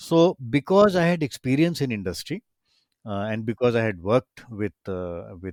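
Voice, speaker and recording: The speaker's pitch swings very widely, with an Indian accent. The recording is very clean and the background silent. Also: man, dry, close sound with no echo. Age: 60s. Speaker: retired professor and angel investor. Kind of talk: interview conversation. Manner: animated.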